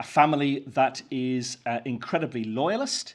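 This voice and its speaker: A man in a Northern Irish accent speaks at a medium pitch against a quiet background. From Northern Ireland, County Down. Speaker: Methodist minister. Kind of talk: keynote speech. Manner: halting, many fillers.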